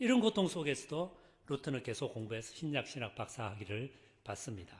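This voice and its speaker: In a Gyeongsang accent, a somewhat breathy voice moves at a fairly quick pace with very wide pitch swings, recorded very cleanly over a silent background. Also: man, fairly high pitch for a man. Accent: Gyeongsang dialect, trouble pronouncing 의. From South Korea, Busan (Gyeongsang). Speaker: pastor. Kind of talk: sermon.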